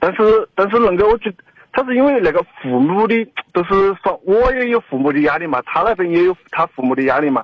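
Talking fairly quickly, this man uses a high pitch that swings very widely. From rural Chongqing. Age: 20s. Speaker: radio caller. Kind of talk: phone-in conversation. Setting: phone call.

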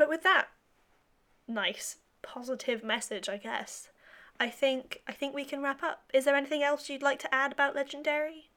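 A woman with a British accent speaks in a high, raised, projected voice at a moderate pace. Her tone is bright and sharp. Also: ordinary pitch variation. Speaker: podcast host. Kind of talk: casual interview chat.

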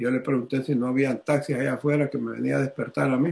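A man speaks with a dark, mellow tone. His pitch is fairly high and his intonation fairly even. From Honduras. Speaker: businessman and ministry regional director. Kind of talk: testimony.

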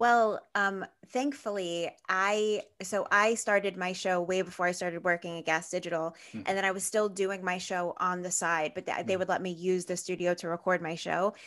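With an American accent, a woman in an unremarkable speaking voice talks at a moderate pace, fairly even in intonation and with hardly any pauses. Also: medium pitch for a woman. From Brooklyn, New York. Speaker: podcast producer and host. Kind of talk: casual interview.

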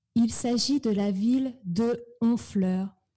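Very slowly, a woman speaks in a dark, mellow, somewhat breathy voice that sits fairly high, with ordinary pitch variation. The recording is very clean, with a silent background. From northern France (Normandy, Eure). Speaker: French pronunciation teacher. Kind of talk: interview.

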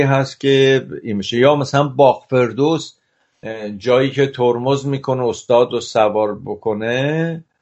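The speaker has a plain, everyday voice with ordinary pitch variation. The pace is fairly slow. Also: man. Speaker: cinematographer. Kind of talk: interview.

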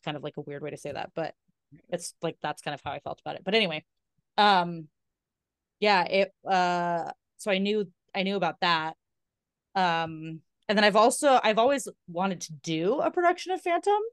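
In a dry, close recording with no echo and a quiet background, a woman speaks at a moderate pace and medium pitch. Her intonation is lively, her loudness swings widely, and her pauses are long and frequent. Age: 30s. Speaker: podcast co-host. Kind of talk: casual chat.

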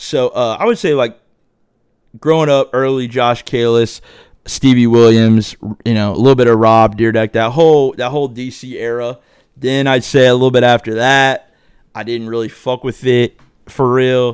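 In an American accent, a man with a medium pitch speaks at a moderate pace in an animated tone, on a very clean recording with a silent background. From Dayton, Ohio, US Midwest. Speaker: podcast host. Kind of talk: casual monologue. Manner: rambling, animated.

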